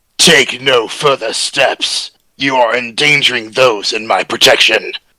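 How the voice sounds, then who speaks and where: Using a put-on character voice, a man talks at a fairly slow pace with a raspy sound at a medium pitch. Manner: aggressive.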